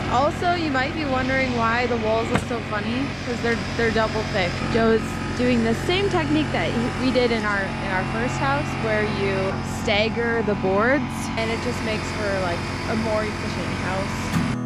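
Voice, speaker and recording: Clear music plays behind a woman's voice. The sound is dry, with no echo. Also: moderate pace. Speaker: home builder vlogger. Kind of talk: casual vlog chat. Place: open country. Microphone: phone near.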